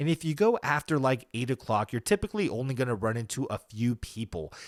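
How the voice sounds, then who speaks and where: This man has a medium-pitched voice and lively intonation. He moves at a fairly quick pace. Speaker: solo podcaster. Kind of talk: casual monologue. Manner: subdued.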